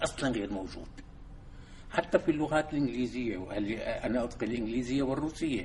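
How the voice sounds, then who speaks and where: There is audible room echo as a man speaks fairly quickly at medium pitch with ordinary pitch variation. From Syria, Damascus. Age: 70s. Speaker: Islamic thinker and civil engineer. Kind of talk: lecture. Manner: halting.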